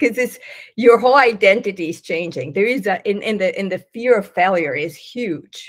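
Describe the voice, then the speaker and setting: The background is quiet. A woman talks with lively intonation. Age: 60s. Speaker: business consultant; interview guest. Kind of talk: casual chat. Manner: halting. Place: home room. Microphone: video call.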